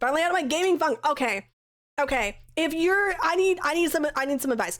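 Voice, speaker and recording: The speech moves at a fairly quick pace with lively intonation. Loudness stays very even throughout. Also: woman, extremely high pitch for a woman. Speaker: streamer. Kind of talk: casual live stream chat. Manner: casual, filler-heavy.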